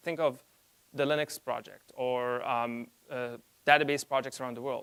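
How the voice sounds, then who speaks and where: A man with a non-native accent, in a dry, close sound with no echo. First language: not English. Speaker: conference speaker. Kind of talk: conference talk. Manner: halting, with fillers and self-corrections.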